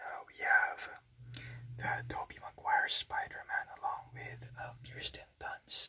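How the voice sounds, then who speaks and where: Soft-spoken and whispering, a man talks at a very slow pace. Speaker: ASMR channel host and toy collector. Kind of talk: casual talk to camera, toy collection review. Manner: whispered, soft-spoken.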